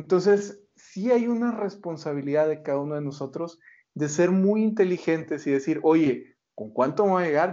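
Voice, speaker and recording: Delivered at a moderate pace with lively intonation, this is a plain, everyday voice. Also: man. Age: 40s. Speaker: retirement finance expert and author. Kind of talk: interview.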